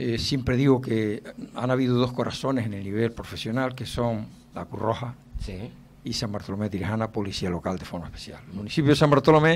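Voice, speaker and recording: Over light background noise, a man talks at a fairly quick pace, his loudness swinging widely while his pitch varies in an ordinary way. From Canary Islands, Spain. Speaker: retired police chief, political candidate; candidate. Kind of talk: radio interview. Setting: radio studio. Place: studio. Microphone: studio mic.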